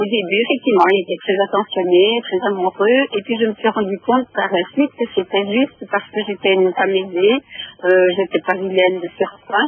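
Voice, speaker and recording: Hardly pausing at all, the speaker keeps a moderate pace with ordinary pitch variation while noticeable background noise runs underneath. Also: woman, medium pitch for a woman. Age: 60s. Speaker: caller. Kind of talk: testimony. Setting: phone call. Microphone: echo on phone line.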